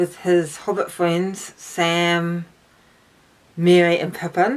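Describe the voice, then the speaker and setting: On a very clean recording with a silent background, a woman with a New Zealand accent speaks at a very slow pace in a fairly low voice. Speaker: book YouTuber. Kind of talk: casual talk to camera. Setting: outdoors in garden. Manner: hesitant, many fillers.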